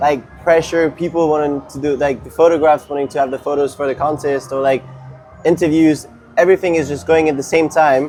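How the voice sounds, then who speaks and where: A man with a French accent speaks fairly quickly at a fairly high pitch. Music plays in the background. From France, Paris. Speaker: competitive skateboarder. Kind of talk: casual interview.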